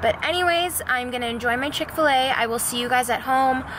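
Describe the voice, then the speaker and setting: Over noticeable background noise, a woman talks at a fairly quick pace and fairly high pitch with ordinary pitch variation. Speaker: fitness trainer and vlogger. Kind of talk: workout tutorial voiceover; casual vlog chat. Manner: loud.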